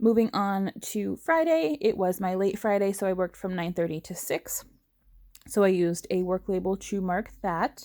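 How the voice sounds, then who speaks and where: A woman speaks in a dark, mellow tone. The recording is very clean, with a silent background. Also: medium pitch for a woman, ordinary pitch variation. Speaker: planner hobby vlogger. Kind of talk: casual voiceover narration. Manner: fast.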